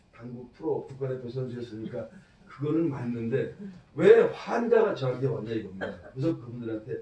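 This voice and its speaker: Through noticeable background noise, a man with a medium-pitched voice speaks at a fairly quick pace. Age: 60s. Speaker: network marketing presenter, former pro billiards player. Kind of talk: business presentation.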